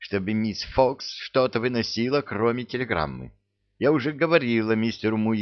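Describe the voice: A quiet background behind plain reading aloud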